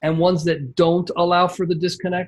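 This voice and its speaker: At a moderate pace, a man talks in a high pitch. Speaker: membership site coach. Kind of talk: screen-share tutorial on a coaching call.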